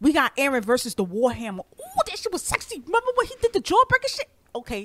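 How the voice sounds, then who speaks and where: In a New York accent, a woman with a high pitch talks at a fairly quick pace in an animated tone with very wide pitch swings, the sound dry and close with no echo. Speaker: podcast co-host. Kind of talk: casual chat. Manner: aggressive.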